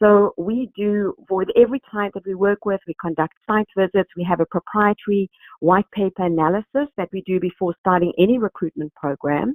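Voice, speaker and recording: A woman with a South African accent talks at a moderate pace with hardly any pauses, her pitch medium and its variation ordinary. The sound is dry and close, with no echo. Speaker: recruitment company executive. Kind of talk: webinar presentation. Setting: online webinar. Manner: hesitant, many fillers.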